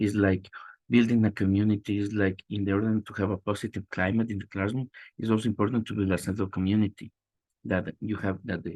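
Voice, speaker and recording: Over a quiet background, a man speaks with a fairly low pitch. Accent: Spanish. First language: Spanish. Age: 30s. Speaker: teacher trainee presenting. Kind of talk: class presentation. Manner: halting, many repetitions.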